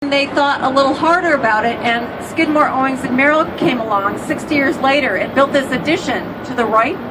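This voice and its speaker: Someone with an American accent talks with hardly any pauses over noticeable background noise. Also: woman, high pitch for a woman, ordinary pitch variation, fairly quick pace. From Chicago, US Midwest. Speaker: architecture tour guide. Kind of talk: guided tour commentary. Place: boat.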